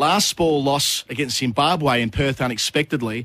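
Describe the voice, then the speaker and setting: The speaker is a man with an Australian accent. His pitch is medium. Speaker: radio host. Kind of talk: casual chat. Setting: studio.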